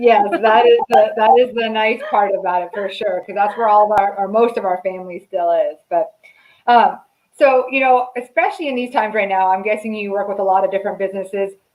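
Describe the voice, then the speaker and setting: Using an ordinary speaking voice, a woman with an American accent talks at a fairly high pitch and a fairly quick pace, with ordinary pitch variation. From Southern California. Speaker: marketing channel host. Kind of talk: interview. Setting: live stream.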